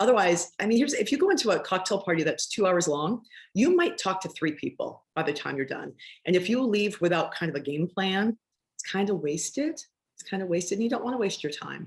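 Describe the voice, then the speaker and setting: A woman with an American accent talks fairly quickly at medium pitch. Her voice is somewhat breathy and her intonation is lively. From Massachusetts, Boston area. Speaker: arts fundraising executive. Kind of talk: masterclass talk. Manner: fast.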